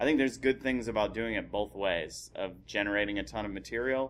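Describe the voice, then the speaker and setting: A man's fairly low voice carries vocal fry and ordinary pitch variation at a moderate pace. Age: 30s. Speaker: stand-up comedian. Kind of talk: casual chat.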